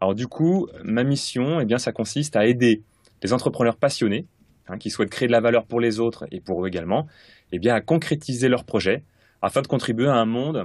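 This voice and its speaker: In a quiet setting, a man with a medium-pitched voice speaks at a moderate pace with ordinary pitch variation. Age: 30s. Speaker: sales coach. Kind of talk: interview. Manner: hesitant, many fillers.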